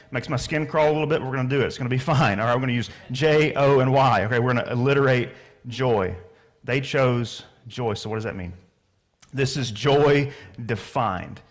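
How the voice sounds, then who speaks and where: With audible room echo, a man with a slight Southern US accent speaks at medium pitch with ordinary pitch variation. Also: fairly quick pace. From US South. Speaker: pastor. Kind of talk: sermon. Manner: casual, conversational.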